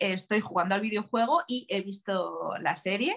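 With a Madrid accent, a woman speaks fairly slowly at a medium pitch with ordinary pitch variation. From Spain, Leganés (Madrid). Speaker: tattoo artist. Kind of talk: interview.

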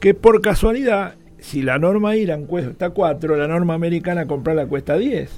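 Music plays in the background as a man talks at a moderate pace. His voice is high-pitched, with lively intonation. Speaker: elevator engineer. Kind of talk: radio interview.

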